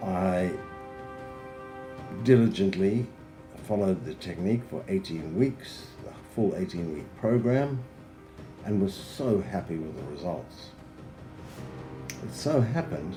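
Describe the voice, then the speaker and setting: A man speaks at a moderate pace with lively intonation and big swings in loudness. He takes long, frequent pauses over music in the background. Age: 70s. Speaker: fitness program client. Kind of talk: client testimonial.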